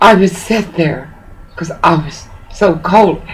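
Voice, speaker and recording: Someone with an American accent speaks at a very slow pace, with audible room echo and noticeable background noise. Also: woman. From US South. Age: 60s. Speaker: pastor. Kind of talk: phone call complaint.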